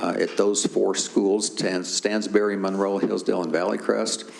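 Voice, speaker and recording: A fairly low-voiced man keeps a moderate pace as noticeable noise runs in the background. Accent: American. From Tennessee. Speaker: school district planning staff presenter. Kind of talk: board meeting presentation. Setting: public board meeting.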